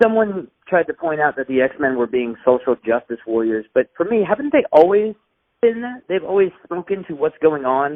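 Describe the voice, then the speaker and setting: With an American accent, a man talks at a moderate pace in a fairly high pitch with very wide pitch swings. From California. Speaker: film reviewer interviewer. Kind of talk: interview.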